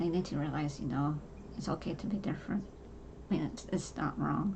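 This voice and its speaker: Over noticeable background noise and audible room echo, a woman talks at a fairly quick pace with ordinary pitch variation. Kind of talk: personal monologue. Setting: home. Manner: halting.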